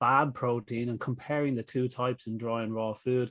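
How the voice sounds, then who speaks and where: Against a quiet background, a man speaks with an Irish accent. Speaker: pet nutrition expert. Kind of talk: panel discussion. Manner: talkative.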